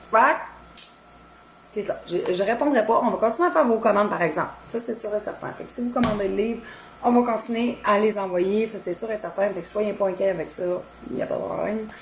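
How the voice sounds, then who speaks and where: A woman with a fairly high pitch and a Quebec accent talks at a fairly quick pace, broken by long, frequent pauses. Noticeable background noise sits behind her. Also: ordinary pitch variation. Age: 30s. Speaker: cooking content creator. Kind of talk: casual live-stream chat. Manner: hesitant, lots of fillers.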